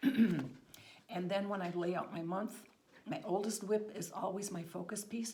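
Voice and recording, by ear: A woman's put-on character voice, croaky, raspy and hoarse, medium in pitch with ordinary pitch variation, at a fairly slow pace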